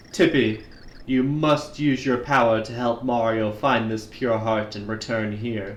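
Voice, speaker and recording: Putting on a character voice, a man speaks at medium pitch and a fairly slow pace. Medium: role play.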